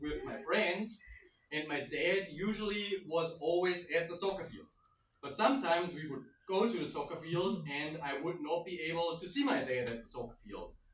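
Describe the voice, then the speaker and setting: With a German accent and a high pitch for a man, this man speaks at a moderate pace with ordinary pitch variation and big swings in loudness, amid noticeable background noise and audible room echo. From Germany. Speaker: stand-up comedian. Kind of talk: stand-up. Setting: stage with audience.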